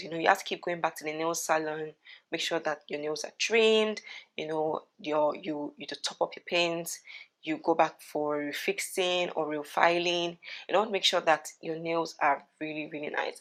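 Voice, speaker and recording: A woman with a fairly low pitch speaks with fairly even intonation and big swings in loudness. The recording is very clean, with a silent background. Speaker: beauty and lifestyle vlogger. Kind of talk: casual advice vlog. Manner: fast.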